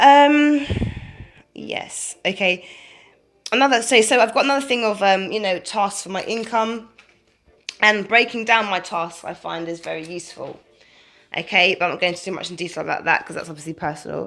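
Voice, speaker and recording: The intonation is lively and the pace fairly quick. Long, frequent pauses break up the speech. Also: woman, medium pitch for a woman. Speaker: video blogger. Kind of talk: casual talk to camera. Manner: halting.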